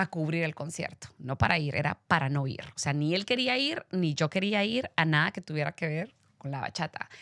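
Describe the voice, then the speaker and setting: A woman's fairly low voice at a moderate pace, with lively intonation. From Guatemala, Guatemala City. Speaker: radio host. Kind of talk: interview.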